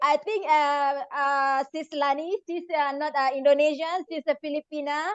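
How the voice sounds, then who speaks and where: A high-pitched woman's voice at a very slow pace, with fairly even intonation and hardly any pauses. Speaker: interpreter, network marketing member. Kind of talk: interpreting on a video call.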